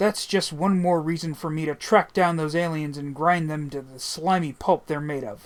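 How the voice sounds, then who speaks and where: A put-on character voice growls along with hardly any pauses. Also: man, fairly high pitch for a man, moderate pace. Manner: growling, menacing.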